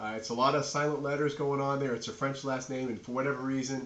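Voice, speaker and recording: A man's medium-pitched voice with a slight New England accent, a fairly quick pace, ordinary pitch variation and audible room echo. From New England, Nashua, New Hampshire. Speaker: professor. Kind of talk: lecture. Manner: casual, filler-heavy.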